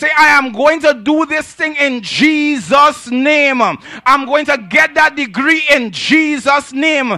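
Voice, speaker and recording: In a raised, projected voice at an extremely high pitch, a man speaks with an animated tone against a quiet background with dry sound and no echo. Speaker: preacher. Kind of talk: sermon. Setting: church with congregation. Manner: animated, call-and-response; conversational with humor. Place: church. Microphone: handheld.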